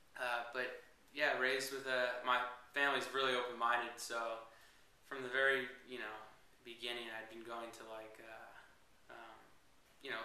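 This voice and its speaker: In an American accent, a man speaks with monotone, flat intonation, and room echo is audible. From Northern California (Petaluma). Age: 20s. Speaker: reality show applicant. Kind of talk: interview. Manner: hesitant, many fillers.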